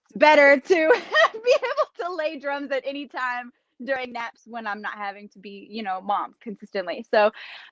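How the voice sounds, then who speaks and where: A woman with a Kentucky accent speaks at a moderate pace and high pitch, with lively intonation and big swings in loudness, in a dry, close sound with no echo. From Kentucky, US. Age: 30s. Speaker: drummer. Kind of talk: casual interview.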